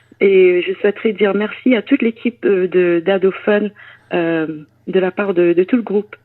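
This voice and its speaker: A woman's medium-pitched voice at a fairly slow pace, with ordinary pitch variation. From France. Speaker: singer in a band. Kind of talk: interview. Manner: halting, many hesitations.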